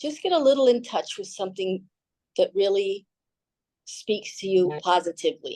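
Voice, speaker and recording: Dark and mellow in tone, a woman speaks at a moderate pace with lively intonation, big swings in loudness and long, frequent pauses. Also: medium pitch for a woman. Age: 60s. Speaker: fitness instructor. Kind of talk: fitness class instruction. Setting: video call.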